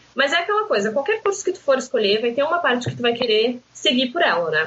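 A woman talking at a very fast pace. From southern Brazil, Rio Grande do Sul coast. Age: 20s. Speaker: marketing student and pharmacy worker. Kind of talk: casual podcast interview. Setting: remote recording.

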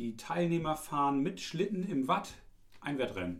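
With audible room echo, a man talks at a fairly slow speed. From East Frisia, northern Germany. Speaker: tourism office employee, podcast co-host. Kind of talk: casual chat.

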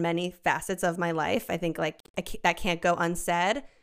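A woman talks in a normal speaking voice at a moderate pace. She has an American accent. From US suburbs. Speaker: content creator. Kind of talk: casual chat. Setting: video call.

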